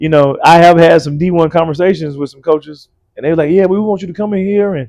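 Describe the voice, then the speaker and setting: With an Alabama accent, a man talks at a very fast pace in a high pitch with a dark, mellow tone. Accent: Southern US (Alabama). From US South, rural Alabama. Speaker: college basketball coach. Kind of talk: podcast interview. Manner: casual, conversational.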